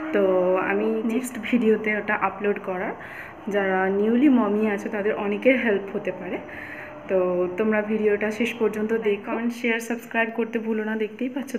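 Over light background noise, a woman is speaking. Her intonation is monotone and flat. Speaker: vlogger. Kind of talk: casual vlog chat. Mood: cheerful, smiling. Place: home room. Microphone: phone near.

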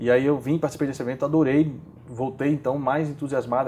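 A man's very fast, monotone delivery in a dark, mellow tone over light background noise. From Brazil, Maceió, Alagoas; Alagoas, Brazil. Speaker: startup community organizer; interview guest. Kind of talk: interview; interview answer. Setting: bookstore. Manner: halting, many repeated fillers. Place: home room.

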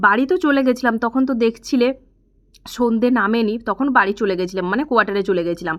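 Normal pitch movement marks an unremarkable speaking voice. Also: woman, fairly high pitch for a woman. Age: 20s. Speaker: vlogger. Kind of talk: casual vlog narration.

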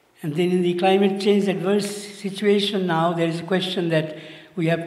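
Audible room echo surrounds the recording. The man's pitch is high. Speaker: speaker. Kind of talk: conference talk. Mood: earnest, warm. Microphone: handheld.

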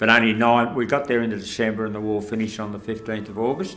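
A man talks at a fairly quick pace as faint music plays in the background. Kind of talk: interview answer. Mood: calm, reflective, somber moments. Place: studio.

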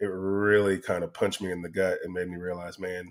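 Against a quiet background, a man talks in a very deep, low pitch with monotone, flat intonation. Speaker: podcast guest. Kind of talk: interview answer. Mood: reflective, candid. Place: home room. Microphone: studio mic.

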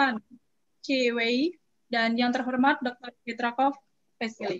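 At a moderate pace, a woman speaks in a high pitch with fairly even intonation. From Indonesia. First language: Indonesian. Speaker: master of ceremonies. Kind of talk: event moderation. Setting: video call. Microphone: webcam.

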